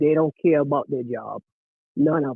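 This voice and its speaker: At a moderate pace, a man speaks with a fairly high pitch and fairly even intonation. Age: 60s. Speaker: caller, former basketball coach. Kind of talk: casual chat. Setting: phone call.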